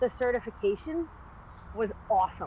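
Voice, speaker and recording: Her fairly high voice carries lively intonation and an animated tone as the woman speaks at a moderate pace. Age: 40s. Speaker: podcast co-host and movement trainer. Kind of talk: casual chat.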